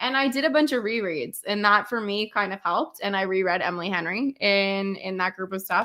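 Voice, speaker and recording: A bright, sharp-toned woman with a Canadian accent, medium pitch, ordinary pitch variation and a moderate pace, on a very clean recording with a silent background. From Canada. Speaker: book content creator. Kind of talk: casual chat.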